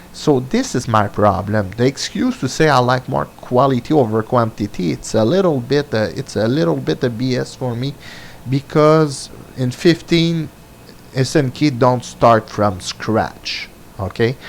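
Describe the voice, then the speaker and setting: Over noticeable background noise, a man speaks fairly slowly at a medium pitch with lively intonation. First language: French. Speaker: gaming commentator. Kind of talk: opinion monologue. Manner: halting, many fillers.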